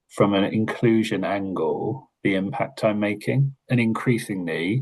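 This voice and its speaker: A man speaks in a Hertfordshire accent at a fairly low pitch. His pitch varies in an ordinary way. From Hertfordshire, England. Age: middle-aged. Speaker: learning and development lead. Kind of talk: webinar conversation.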